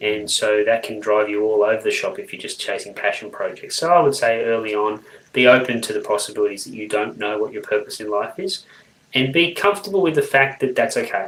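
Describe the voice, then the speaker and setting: Fairly quick, a man with an Australian accent talks with big swings in loudness. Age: 40s. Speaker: people development professional. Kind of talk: interview.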